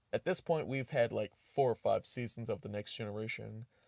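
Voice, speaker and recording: Here a man speaks at medium pitch and a moderate pace, with ordinary pitch variation. The sound is dry and close with no echo, a very clean recording with a silent background. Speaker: YouTube reviewer. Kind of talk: casual video review. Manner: halting, filler-heavy.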